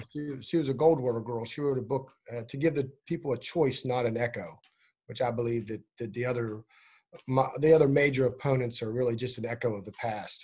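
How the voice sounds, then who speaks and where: A somewhat breathy man with fairly even intonation. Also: medium pitch for a man. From West Virginia, Eastern Panhandle. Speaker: political candidate. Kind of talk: interview. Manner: halting.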